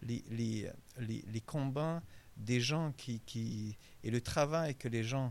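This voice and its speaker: This man talks very slowly, his medium-pitched voice showing the usual amount of pitch movement. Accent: Hungarian. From Hungary, raised in Montreal from age 11. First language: Hungarian (speaking French). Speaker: author. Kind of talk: interview. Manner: halting, many repetitions.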